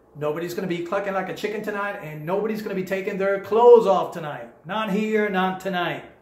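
A man with an American accent talks at a very fast pace and a high pitch, with hardly any pauses. His intonation is fairly even, and there is audible room echo. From Florida. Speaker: hypnotist; presenter. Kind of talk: seminar talk. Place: home room.

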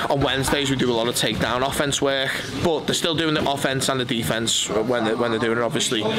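Loud background noise fills the recording. Through it, a man can be heard talking. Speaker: grappling coach. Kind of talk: interview answer. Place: gym.

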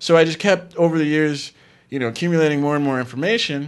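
A man's fairly high voice at a very fast pace over a quiet background. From Palm Beach, Florida; Florida. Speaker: actor and filmmaker; actor. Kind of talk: casual chat. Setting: studio. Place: studio. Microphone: studio mic.

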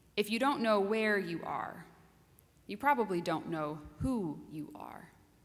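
A woman speaks at a fairly slow pace, her pitch medium and her intonation lively. Her loudness swings widely from moment to moment. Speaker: minister giving a sermon. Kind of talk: sermon delivered to a congregation. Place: church. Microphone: podium.

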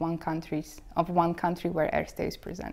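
A woman speaks in a fairly low pitch with a Slovak accent, her dark, mellow tone held in a monotone, flat intonation. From Slovakia. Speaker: bank trainee. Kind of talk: interview. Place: office. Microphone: lapel.

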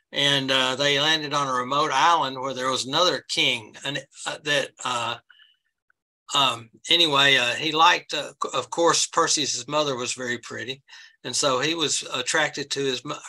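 With a bright, sharp tone and fairly even intonation, a man talks against a quiet background. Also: moderate pace. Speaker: presenter. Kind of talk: lecture. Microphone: webcam.

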